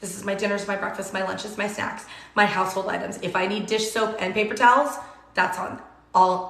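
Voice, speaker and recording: Noticeable background noise and audible room echo surround a woman speaking at a fairly quick pace. Her intonation is flat and monotone. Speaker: cooking livestream host. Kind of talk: live cooking demo with viewer Q&A. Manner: casual and chatty.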